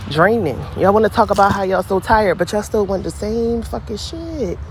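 Against noticeable background noise, a woman speaks at a fairly quick pace in an animated, passionate tone. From Philadelphia, US. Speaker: podcaster. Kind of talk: casual rant. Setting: outdoors, in a hammock. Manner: animated, passionate, blunt.

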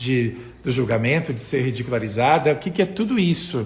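Lively in intonation, a man speaks at a fairly quick pace with medium pitch. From interior of Rio Grande do Sul, Brazil. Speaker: communication and voice coach. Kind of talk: Instagram live coaching talk with viewers. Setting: Instagram live stream. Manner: animated, chatty with many fillers.

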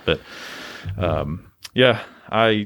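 A man talks in an East Tennessee accent. His pitch is medium with ordinary variation. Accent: Southern US (East Tennessee). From East Tennessee, US South. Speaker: gym coach and real estate agent. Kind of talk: casual chat. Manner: hesitant, many fillers.

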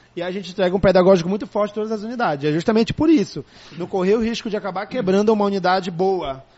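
With noticeable background noise behind him, a man speaks at a very fast pace in a high voice. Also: ordinary pitch variation. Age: 30s. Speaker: school director and educator. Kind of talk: casual interview.

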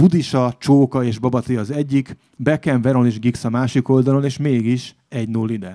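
A man's medium-pitched voice, dark and mellow in tone, dry and close with no echo, on a very clean recording with a silent background. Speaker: writer. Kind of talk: reading aloud.

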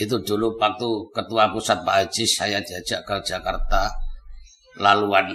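A man talks over noticeable background noise. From East Java, Lamongan. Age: 70s. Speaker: spiritual healer. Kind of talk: casual interview.

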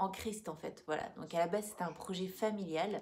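The intonation is fairly even. Noticeable background noise runs under the voice. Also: woman. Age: 30s. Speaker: school employee and co-host. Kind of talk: casual livestream chat.

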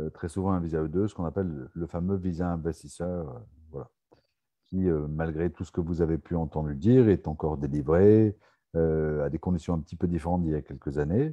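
The man's pitch is very deep and low. His pitch varies in an ordinary way. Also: moderate pace. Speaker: live show host for French expats. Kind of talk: live online Q&A show. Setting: video call livestream.

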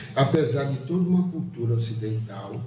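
The man talks fairly slowly. Audible room echo trails his words. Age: 50s. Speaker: librarian podcast co-host. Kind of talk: podcast interview. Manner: halting.

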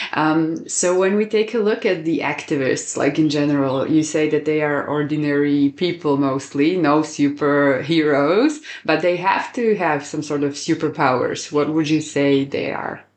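The speaker has a Slovak accent. There are hardly any pauses. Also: moderate pace. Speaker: podcast host. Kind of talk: interview.

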